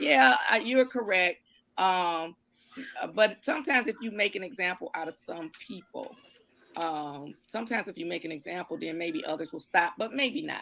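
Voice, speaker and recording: A woman speaks at medium pitch and a moderate pace, her tone bright and sharp. Her pitch swings very widely, and her loudness rises and falls a great deal. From Detroit, east side. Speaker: judge. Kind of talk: live stream talk. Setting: live stream. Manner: halting.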